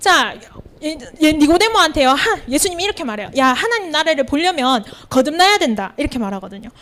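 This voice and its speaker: Over noticeable background noise, a woman speaks at a very fast pace with a high pitch and very wide pitch swings. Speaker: teacher and evangelist. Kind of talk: sermon. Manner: many fillers, conversational.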